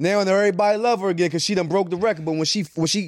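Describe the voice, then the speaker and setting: With a DC area accent, a man speaks in a high voice. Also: very clean recording, silent background. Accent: DC area urban American English. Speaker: podcast host. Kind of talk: casual podcast interview, profane.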